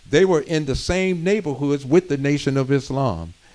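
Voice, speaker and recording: A man's fairly high voice carries his words along at an unhurried, moderate speed. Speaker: community speaker. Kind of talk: community history talk.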